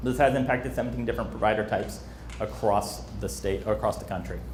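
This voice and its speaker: With audible room echo around him, a man delivers his words at a fairly quick pace. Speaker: emergency preparedness trainer. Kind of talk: training presentation. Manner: fast.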